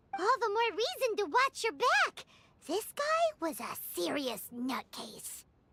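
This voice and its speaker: In a put-on character voice, the speaker talks at a fairly slow pace with an extremely high pitch and very wide pitch swings. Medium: video game. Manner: excitable, emphatic.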